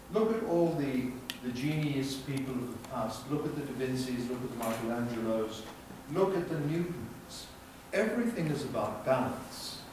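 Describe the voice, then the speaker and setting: Noticeable background noise and audible room echo surround a man speaking at a moderate pace. His medium-pitched voice carries lively intonation. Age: 70s. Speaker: health educator. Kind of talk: lecture. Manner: animated.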